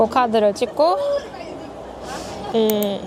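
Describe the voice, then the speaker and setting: Noticeable background noise sits under the clip. A woman's voice comes through at a fairly high pitch. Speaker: travel vlogger. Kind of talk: travel vlog narration. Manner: animated.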